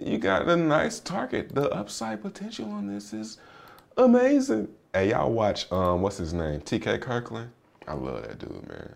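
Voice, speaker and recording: Big swings in loudness from a man talking at a moderate pace. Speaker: crypto podcaster. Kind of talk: solo podcast with chart analysis. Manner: casual, joking, filler-heavy.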